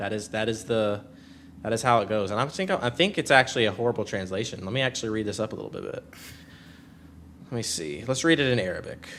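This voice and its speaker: Speaking at a very fast pace in an animated tone, a man uses a medium pitch with ordinary pitch variation and takes long, frequent pauses. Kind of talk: live debate stream chat. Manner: loud.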